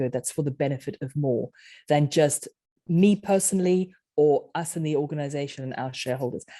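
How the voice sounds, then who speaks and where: A woman with a South African accent, a very deep, low pitch, and a dark, mellow tone speaks at a fairly quick pace with ordinary pitch variation on a very clean recording with a silent background. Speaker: author and leadership coach. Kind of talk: podcast interview.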